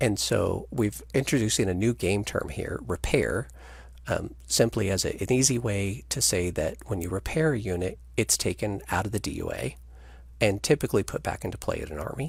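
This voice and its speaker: With very wide pitch swings and vocal fry, a man speaks at a fairly low pitch. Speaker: game designer presenting new rules. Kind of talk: video call rules discussion. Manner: fast.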